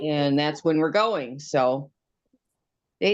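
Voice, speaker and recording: A woman at a fairly slow pace, her pitch swinging very widely. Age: 60s. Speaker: knitter hosting an online knitting group. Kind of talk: casual chat. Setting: video call.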